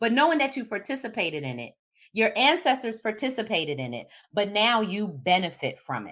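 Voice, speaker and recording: On a very clean recording with a silent background, a woman with vocal fry talks at a fairly quick pace and fairly high pitch, her animated tone marked by very wide pitch swings and big swings in loudness. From Philadelphia, US. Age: 50s. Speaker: diversity educator. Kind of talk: solo talk.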